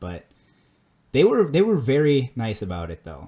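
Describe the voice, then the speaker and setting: A man's dark, mellow voice at medium pitch, moderate pace, with a strong Minnesota accent. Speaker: podcast co-host. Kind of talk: casual chat.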